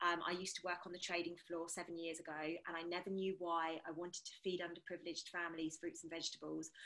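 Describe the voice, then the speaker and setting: A woman with a British accent speaks at a very fast pace in a bright, sharp tone. Her fairly low voice stays monotone, with flat intonation. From England. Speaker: energy healer. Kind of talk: casual round table discussion.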